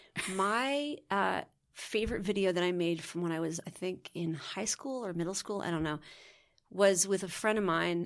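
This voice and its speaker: This woman has a plain, everyday voice, medium in pitch with ordinary pitch variation, at a moderate pace. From Connecticut, US. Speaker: actress and director. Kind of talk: casual interview chat.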